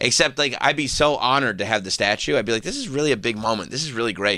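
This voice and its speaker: A man with a New York accent talks at a very fast pace in a medium pitch, his tone animated, bright and sharp, his intonation lively. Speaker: radio show host. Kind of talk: casual chat.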